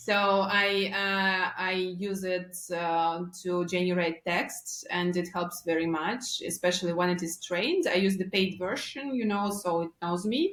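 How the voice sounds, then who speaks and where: With a Russian accent, a woman speaks at a medium pitch with fairly even intonation and hardly any pauses. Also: fairly slow pace. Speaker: marketing agency founder. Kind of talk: podcast interview. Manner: halting.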